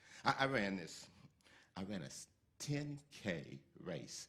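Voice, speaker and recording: Using vocal fry, a man at a medium pitch makes very wide pitch swings as he talks. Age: 60s. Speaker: lay speaker at a church service. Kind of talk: inspirational talk.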